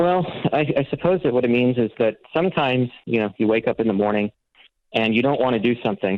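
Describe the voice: A man talks at a fast pace and medium pitch with ordinary pitch variation. The sound is dry and close, with no echo.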